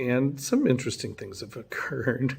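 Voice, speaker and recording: Quiet and somewhat breathy, a man's medium-pitched voice carries lively intonation. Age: 50s. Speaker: vlogger. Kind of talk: casual video diary. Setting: at home late at night. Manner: quiet, keeping voice down; halting, many fillers.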